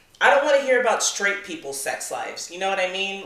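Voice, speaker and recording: The voice carries ordinary pitch variation, and audible room echo surrounds it. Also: woman. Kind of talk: casual chat. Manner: halting.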